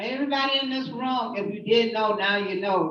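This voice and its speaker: Lively intonation marks this woman's speech, heard with audible room echo. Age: 50s. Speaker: activist giving testimony. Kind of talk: testimony. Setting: hearing room with audience.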